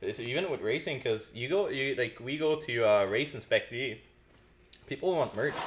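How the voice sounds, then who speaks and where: Speech in a Quebec accent at a moderate pace, with ordinary pitch variation. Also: man, medium pitch for a man. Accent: Québécois French-accented English. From Quebec, Canada. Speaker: podcast host. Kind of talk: casual chat.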